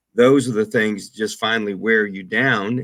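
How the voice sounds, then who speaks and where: With a plain, everyday voice, a man talks at a fairly slow pace at a medium pitch, his intonation fairly even, on a very clean recording with a silent background. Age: 60s. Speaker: radio broadcaster. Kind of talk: interview.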